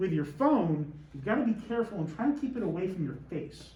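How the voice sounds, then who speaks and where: Loud and high-pitched, a man speaks. Audible room echo surrounds his voice. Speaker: teacher. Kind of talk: lecture. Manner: animated.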